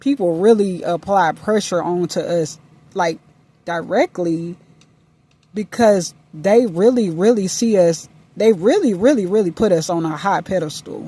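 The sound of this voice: A woman with a fairly low pitch, dark, mellow tone and slightly husky edge, at a fairly slow pace with ordinary pitch variation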